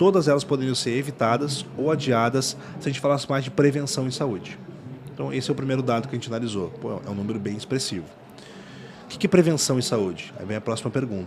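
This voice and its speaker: Over noticeable background noise and audible room echo, a man talks very fast at a medium pitch with lively intonation. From Rio Grande do Sul, Brazil. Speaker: startup founder and CEO. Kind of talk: podcast interview. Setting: podcast booth at a conference.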